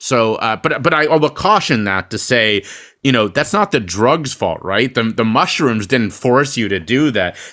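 Using a normal speaking voice, a man at medium pitch talks at a moderate pace with lively intonation in a very clean recording with a silent background. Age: 30s. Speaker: public speaker and podcast host. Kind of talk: interview. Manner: frequent fillers and repetitions.

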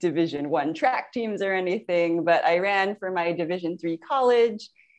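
A woman of medium pitch speaks at a fairly slow pace. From San Francisco Bay Area, California. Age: 40s. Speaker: prosthetist and amateur triathlete. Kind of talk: interview. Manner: laughs often.

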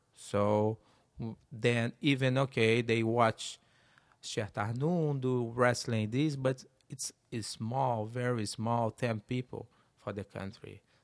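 Speaking very slowly with a Brazilian Portuguese accent, a man keeps a medium pitch and fairly even intonation in a dry, close sound with no echo. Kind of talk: interview.

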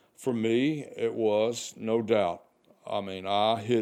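A man with a Southern US accent, very slow pace and fairly even intonation. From US South, Arkansas. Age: 60s. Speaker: podcast host, retired. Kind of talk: reflective monologue. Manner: casual, halting with fillers.

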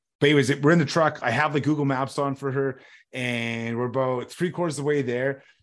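This man speaks fairly quickly at a fairly high pitch with a Canadian Prairies accent. His intonation stays fairly even. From Saskatchewan, Canada. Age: 30s. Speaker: storm chaser. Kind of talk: podcast interview. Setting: remote call.

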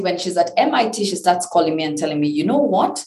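Noticeable background noise sits behind the voice. A woman speaks at a fairly low pitch. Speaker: entrepreneur. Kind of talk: interview.

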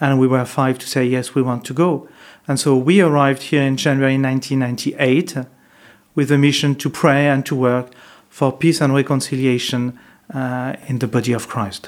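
A man with a French accent speaks at a moderate pace in a medium pitch with fairly even intonation. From France, Paris. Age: 50s. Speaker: monk. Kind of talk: interview. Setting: monastery. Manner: halting.

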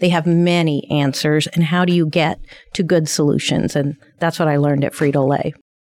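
In a Midwestern American accent, the speaker uses a monotone, flat intonation at a moderate pace with very even loudness. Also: woman, very deep, low pitch for a woman. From southern Indiana. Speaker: community college president, former lieutenant governor. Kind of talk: interview.

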